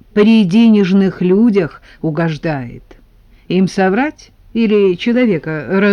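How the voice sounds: The natural reading voice shows ordinary pitch variation.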